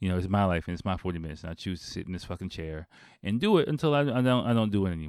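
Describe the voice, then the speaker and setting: With a very deep, low pitch, a man rattles along at a very fast pace and lively intonation. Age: 40s. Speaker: podcast host and English teacher. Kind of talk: casual solo monologue. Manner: halting, many fillers and repetitions.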